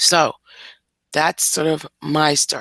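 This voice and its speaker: A woman speaks in a very deep, low voice with monotone, flat intonation at a very slow pace, and the sound is dry and close with no echo. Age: 50s. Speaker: family caregiver. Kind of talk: casual chat.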